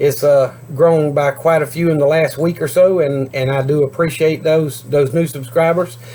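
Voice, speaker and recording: At a moderate pace with hardly any pauses, an unremarkable speaking voice holds a fairly even intonation. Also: man, fairly high pitch for a man. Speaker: homesteading YouTuber. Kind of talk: casual vlog talk to camera. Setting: outdoors. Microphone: cheap camera, video freezes and skips words.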